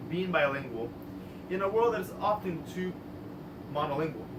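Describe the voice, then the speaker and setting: In a Spanish accent, a man speaks with lively intonation amid noticeable background noise and audible room echo. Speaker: artist and filmmaker. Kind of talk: prepared artist talk. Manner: formal.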